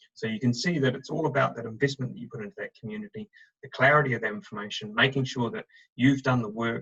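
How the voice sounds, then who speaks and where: Talking at a very fast pace, a man with a medium-pitched voice and a bright, sharp tone is recorded in a dry, close sound with no echo. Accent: New Zealand. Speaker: recruitment director. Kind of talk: webinar presentation. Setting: video call.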